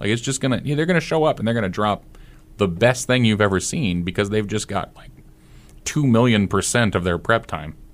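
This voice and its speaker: With a Midwestern American accent, a man talks fairly quickly in a fairly low pitch and with lively intonation. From Nebraska, US Midwest. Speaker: debate coach. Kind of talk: casual chat.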